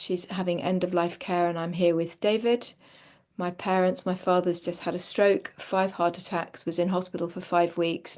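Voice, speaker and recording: A woman at medium pitch, an ordinary speaking voice, moderate pace, quiet background. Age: 60s. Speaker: session participant and carer. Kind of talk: personal sharing in group call.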